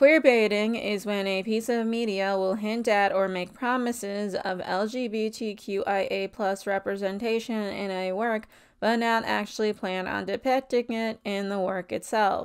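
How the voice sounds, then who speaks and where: A woman puts on a robotic character voice at a medium pitch. Her pace is fairly slow. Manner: flat, robotic, monotone, rehearsed-sounding.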